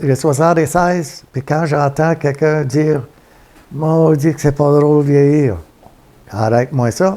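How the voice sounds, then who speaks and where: A man with a Quebec accent, fairly high in pitch, with a dark, mellow tone, fairly even intonation and a very slow pace. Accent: Québécois French. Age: 70s. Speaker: retired trucker. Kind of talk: interview storytelling. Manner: halting.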